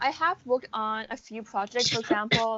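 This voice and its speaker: In a plain, everyday voice, a woman with an American accent speaks at a moderate pace and a fairly high pitch. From USA. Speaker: college student. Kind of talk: interview.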